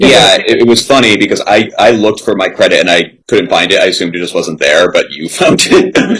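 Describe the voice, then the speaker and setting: Fairly quick, a man talks with hardly any pauses. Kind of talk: casual interview. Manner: loud.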